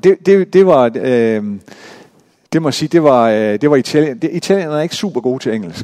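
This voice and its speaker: Man's fairly high voice with a dark, mellow tone and lively intonation, moderate pace, dry, close sound with no echo. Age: 50s. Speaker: pastor. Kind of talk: sermon. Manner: halting.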